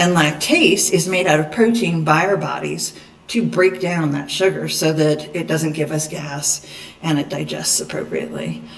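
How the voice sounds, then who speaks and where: Noticeable background noise and audible room echo surround speech at a fairly slow pace. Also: woman. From Eastern Kentucky. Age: 50s. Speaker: dietitian. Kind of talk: lecture.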